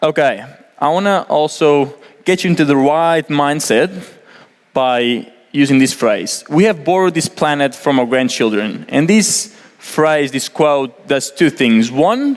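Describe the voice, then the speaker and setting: A man with a Portuguese accent speaks at a fairly slow pace and fairly high pitch. His intonation is lively while his loudness stays very even. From Portugal. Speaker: environmental engineer. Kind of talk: presentation. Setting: stage with audience. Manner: casual, many fillers.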